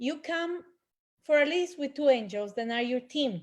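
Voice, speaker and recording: In a Spanish accent, the speaker moves at a moderate pace with very wide pitch swings against a quiet background. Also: woman. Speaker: angel healer. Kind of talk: panel discussion.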